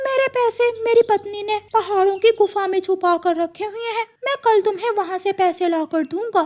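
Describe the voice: A woman speaks at a moderate pace in a cartoonish character voice. Her pitch is extremely high.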